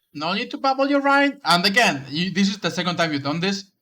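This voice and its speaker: A man's bright, sharp tone and lively intonation on a very clean recording with a silent background. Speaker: game coach streamer. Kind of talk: live game review commentary. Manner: stuttering; casual conversational.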